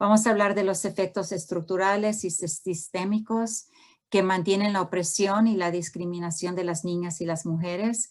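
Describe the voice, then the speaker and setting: In an American accent, a woman talks at a medium pitch with fairly even intonation. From US, Houston, Texas (born in Honduras). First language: English-dominant (Spanish at home) (speaking Spanish). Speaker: professor, family therapist. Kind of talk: lecture. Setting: video call. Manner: halting, many fillers.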